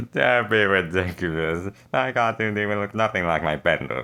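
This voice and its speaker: Using a put-on character voice, a man talks at a moderate pace with a fairly low pitch. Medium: read story. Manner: commanding, imperious.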